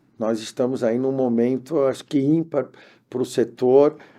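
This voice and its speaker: Against a quiet background, a man with a medium-pitched, dark, mellow voice talks fairly slowly with fairly even intonation. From Brazil, Santos (São Paulo coast). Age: 50s. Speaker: labor court judge. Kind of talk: podcast interview.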